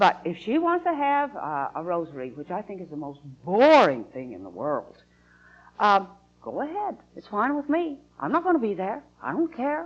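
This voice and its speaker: A woman with an American accent talks at a moderate pace. Her medium-pitched voice swings very widely in pitch and in loudness. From Utah. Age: 60s. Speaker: atheist activist. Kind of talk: interview. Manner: halting.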